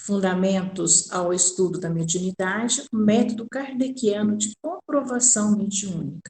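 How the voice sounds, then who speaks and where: A woman speaks at a fairly slow pace with hardly any pauses. Her medium pitch shows ordinary variation. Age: 60s. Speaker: spiritist course lecturer. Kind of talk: lecture. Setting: recording at home. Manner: halting.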